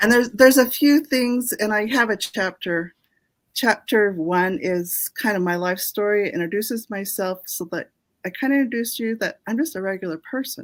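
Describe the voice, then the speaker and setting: A woman with an ordinary speaking voice, fairly high pitch and lively intonation, at a moderate pace, on a very clean recording with a silent background. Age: 60s. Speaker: author. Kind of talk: interview.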